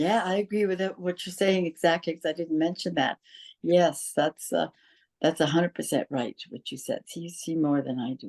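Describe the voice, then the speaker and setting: A woman's fairly low voice at a moderate pace, with ordinary pitch variation and big swings in loudness, dry and close with no echo. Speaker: interviewee, host's mother. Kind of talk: casual interview, life memories. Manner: soft-spoken; halting.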